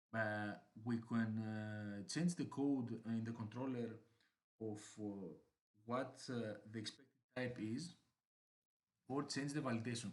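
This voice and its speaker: A man with a non-native accent and a medium pitch, ordinary pitch variation, a very slow pace and long, frequent pauses. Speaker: software developer. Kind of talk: screencast tutorial narration. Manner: hesitant, many fillers.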